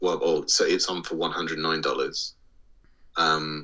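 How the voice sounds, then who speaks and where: With an English accent, a man speaks at a moderate pace. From England. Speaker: podcast co-host. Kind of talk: casual chat.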